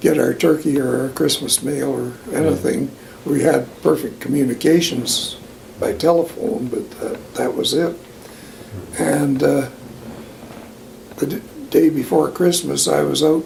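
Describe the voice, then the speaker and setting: Through noticeable background noise, a man with a Western Canadian accent talks in a relaxed tone at a fairly slow pace. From Alberta, Canada. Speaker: long-time local resident. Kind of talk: oral history interview answer. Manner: relaxed, reminiscing.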